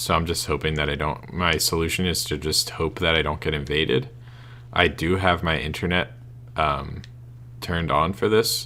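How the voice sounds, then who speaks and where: With a very deep, low pitch and vocal fry, this man speaks at a moderate pace in a bright, sharp tone with ordinary pitch variation. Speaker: gameplay commentator. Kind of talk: let's play commentary.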